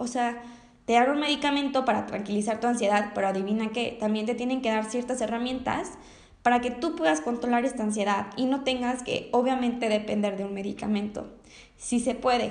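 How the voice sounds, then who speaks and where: A woman with a high voice talks at a fairly quick pace with ordinary pitch variation, and audible room echo surrounds her. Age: young. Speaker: podcaster and university student. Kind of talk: personal testimony monologue. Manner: halting, with frequent word repetitions.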